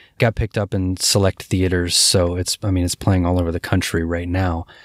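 At a moderate pace, a man with an American accent speaks in a very deep, low voice, recorded very cleanly with a silent background and a dry, close sound with no echo. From Cincinnati, Ohio. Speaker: film director. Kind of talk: interview answers.

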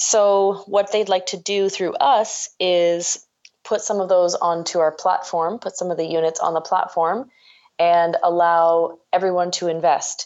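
Speaking fairly slowly in a Canadian accent, a woman has a plain, everyday voice, fairly low in pitch with fairly even intonation. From Ontario, Canada. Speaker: entrepreneur, startup co-founder. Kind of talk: interview.

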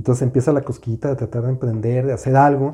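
Fairly high in pitch yet dark and mellow in tone, a man's somewhat breathy voice moves at a fairly quick pace. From Mexico City. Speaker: podcast co-host, business coach. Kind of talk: casual chat.

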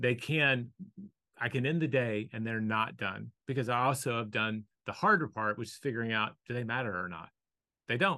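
An American accent marks this man's speech at a moderate pace. His pitch is medium, with ordinary variation. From US South. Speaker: author and business speaker. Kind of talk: casual interview. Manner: calm, thoughtful.

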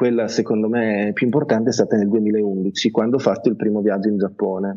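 A man talks at a moderate pace and medium pitch, with very even loudness and hardly any pauses. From Italy, Bologna. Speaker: journalist and travel blogger. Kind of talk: interview. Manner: halting.

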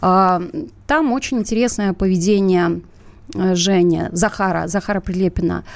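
A woman talks fairly slowly at a medium pitch, with ordinary pitch variation. She has an ordinary speaking voice. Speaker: radio show co-host. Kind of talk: live talk show, political discussion.

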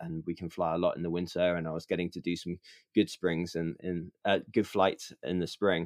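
In a British accent, a man with a very deep, low pitch speaks at a moderate pace. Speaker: filmmaker and paraglider pilot. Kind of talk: podcast interview.

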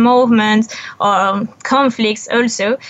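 A woman speaks with a French accent. Her pace is fairly slow and her intonation fairly even. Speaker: photo documentarian. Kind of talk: interview. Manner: halting.

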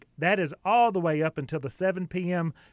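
With ordinary pitch variation, a man talks in a Southern US accent. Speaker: radio host. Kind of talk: radio interview.

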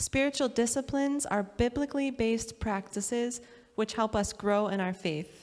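A woman's unremarkable speaking voice, fairly high in pitch, with ordinary pitch variation. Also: moderate pace. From USA. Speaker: pastor. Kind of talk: sermon.

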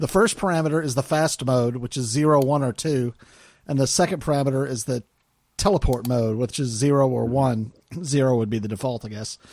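A man's ordinary speaking voice, medium in pitch, with ordinary pitch variation and a fairly quick pace, on a very clean recording against a silent background. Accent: American. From US South. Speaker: podcast host. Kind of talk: casual chat.

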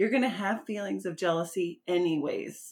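A woman with an ordinary speaking voice and an American accent, fairly low in pitch, at a moderate pace with fairly even intonation. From US Midwest. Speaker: podcast host. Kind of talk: casual interview.

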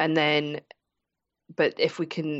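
With a Scottish accent, a woman speaks in a very deep, low pitch. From Scotland. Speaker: business mentor. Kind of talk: casual interview chat.

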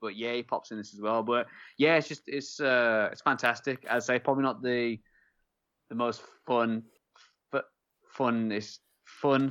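A man with an English accent speaks at a moderate pace and medium pitch. His intonation stays fairly even, broken by long, frequent pauses. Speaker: podcast host. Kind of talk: casual banter, beer review. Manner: joking, rambling.

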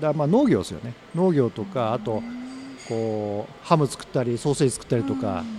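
A man speaks at medium pitch and a moderate pace, his intonation lively. His loudness swings a lot, and music plays in the background. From Tokyo (Ogikubo). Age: 50s. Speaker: company president, curry restaurant founder. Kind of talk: interview, life story. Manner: casual, filler-heavy.

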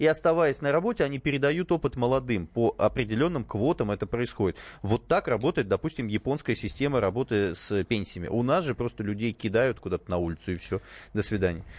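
Against a quiet background, a man speaks very fast at a medium pitch with lively intonation, the sound dry and close with no echo. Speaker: radio host. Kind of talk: talk radio discussion. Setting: studio.

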